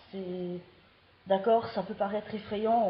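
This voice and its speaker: A woman's medium-pitched voice, fairly slow and fairly even in intonation. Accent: slight Belgian. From Belgium. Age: 20s. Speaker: vlogger. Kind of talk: casual vlog monologue. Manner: halting, with hesitations.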